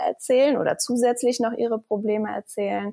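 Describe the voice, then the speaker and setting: A woman with a plain, everyday voice and a fairly high pitch talks at a moderate pace. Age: 30s. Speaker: fitness coach. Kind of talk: interview.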